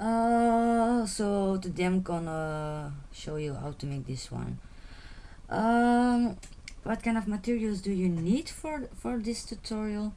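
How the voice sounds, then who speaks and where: In a Flemish accent, a woman of medium pitch speaks at a very slow pace with a dark, mellow tone and lively intonation, audible room echo around her voice. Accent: Flemish Dutch accent in English. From Belgium (Flanders). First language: Dutch. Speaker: beading tutorial creator. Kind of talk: tutorial. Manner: halting, many fillers and repetitions.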